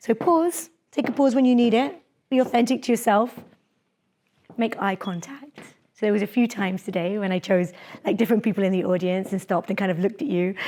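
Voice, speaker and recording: A woman speaks very fast at a fairly high pitch with lively intonation. She takes long, frequent pauses. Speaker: dentist and public speaking lecturer. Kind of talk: lecture.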